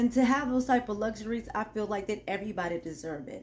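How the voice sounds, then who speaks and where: Over noticeable background noise, a woman speaks fairly quickly in a fairly high voice. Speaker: YouTuber, motivational talk. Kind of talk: motivational monologue. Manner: some trouble articulating certain words.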